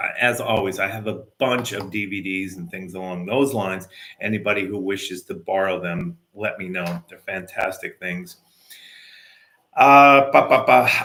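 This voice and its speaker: A man talks with a bright, sharp tone at a fairly low pitch. His loudness swings widely while his pitch varies in an ordinary way. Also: moderate pace. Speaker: martial arts instructor. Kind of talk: casual video update to students.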